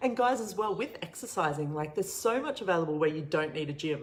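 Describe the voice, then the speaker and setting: A woman with an Australian accent and a fairly low pitch swings her pitch very widely over noticeable background noise. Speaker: online show host, coach. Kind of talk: casual livestream Q&A. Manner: casual, filler-heavy; quiet.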